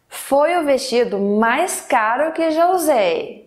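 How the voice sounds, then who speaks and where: A woman talks at a very slow pace while her pitch swings very widely. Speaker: English teacher. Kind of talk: lesson example sentences. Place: studio.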